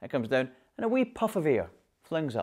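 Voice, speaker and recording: A man speaks with a Scottish accent. His pitch swings very widely. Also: very clean recording, silent background. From Scotland, Glasgow. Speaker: voice coach. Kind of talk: tutorial.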